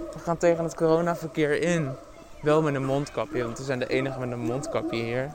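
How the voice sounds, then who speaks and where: Amid noticeable background noise, a man with a fairly high pitch speaks at a fairly quick pace. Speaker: podcast host. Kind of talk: casual monologue. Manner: animated.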